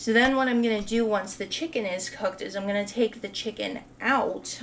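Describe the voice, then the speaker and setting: At a moderate pace and with fairly even intonation, a woman talks in a plain, everyday voice. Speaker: home cooking video host. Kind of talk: cooking tutorial. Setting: home kitchen. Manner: casual, chatty.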